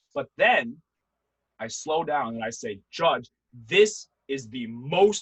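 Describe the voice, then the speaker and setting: A man speaks at a fairly high pitch. His voice moves through very wide pitch swings. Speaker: debate instructor. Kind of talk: workshop lecture. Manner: fast; animated.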